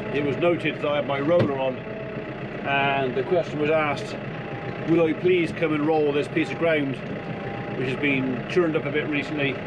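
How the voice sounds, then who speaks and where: Loud background noise surrounds the recording. A man speaks with ordinary pitch variation. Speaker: farmer vlogger. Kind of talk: casual vlog chat. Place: garden. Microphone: phone near.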